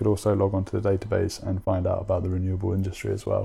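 A man speaks at a very fast pace in a fairly low, somewhat breathy voice with a London accent, his tone dark and mellow. His intonation stays monotone and flat against a quiet background. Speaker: finance manager. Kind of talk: casual interview.

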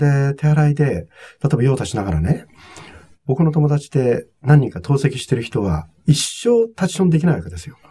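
Speaking at a moderate pace, a man with a fairly high pitch and a dark, mellow, somewhat breathy tone makes very wide pitch swings and big swings in loudness. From Japan, Nagano (Togakushi). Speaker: hospitality consultant and author. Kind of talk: interview.

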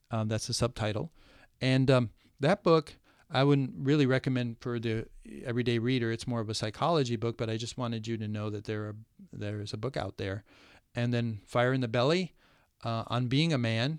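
With an American accent, a man speaks in a plain, everyday voice at a medium pitch and a fairly quick pace, with ordinary pitch variation and a quiet background. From US Midwest, rural Ohio. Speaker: men's issues speaker. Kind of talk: casual chat.

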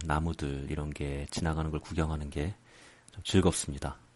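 Soft-spoken and very deep, a man speaks at a fairly slow pace against a quiet background. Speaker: podcast host. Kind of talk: casual monologue. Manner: quiet, soft-spoken.

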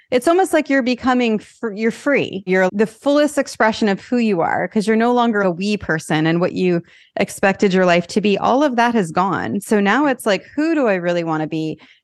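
A woman talks at a fairly quick pace in an ordinary speaking voice, pitched fairly high with lively intonation. She hardly pauses, and the background is quiet. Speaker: podcast host. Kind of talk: casual interview.

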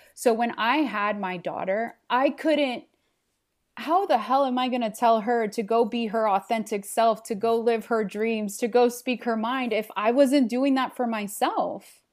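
A woman speaks at a fairly slow pace with a fairly high pitch and ordinary pitch variation, in an unremarkable speaking voice. The recording is very clean, with a silent background. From Los Angeles, Mexican immigrant family. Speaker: marketing communications consultant. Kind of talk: podcast interview.

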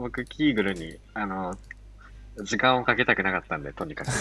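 A man's bright, sharp voice, fairly quick and full of lively intonation. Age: 20s. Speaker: freelance software engineer. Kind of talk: casual chat.

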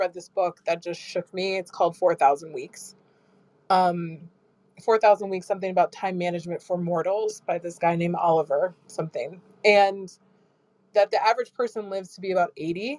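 An unremarkable speaking voice from a woman with an American accent, medium pitch, fairly even intonation and a fairly quick pace, dry and close with no echo. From US Midwest (Michigan, Minneapolis). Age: 30s. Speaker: tech marketing executive. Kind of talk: casual chat. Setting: live audio chat room.

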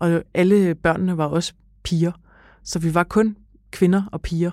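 Her voice has a dark, mellow tone as this woman speaks at a fairly low pitch. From Denmark, Copenhagen (Frederiksberg). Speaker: daughter of the featured writer. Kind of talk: interview. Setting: studio.

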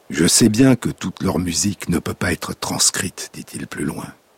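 A man at a fairly slow pace with very wide pitch swings, over noticeable background noise. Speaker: radio host. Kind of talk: scripted narration. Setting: radio studio. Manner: lyrical, slow, measured, incantatory delivery.

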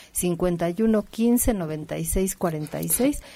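This is a woman with a normal speaking voice. Her fairly low pitch shows ordinary variation. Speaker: naturopathic doctor. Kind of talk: radio health advice.

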